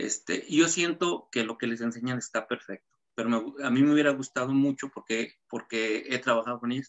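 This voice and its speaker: A man with a Mexican accent, medium in pitch, at a moderate pace with ordinary pitch variation. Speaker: shoe designer and pattern maker. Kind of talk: interview.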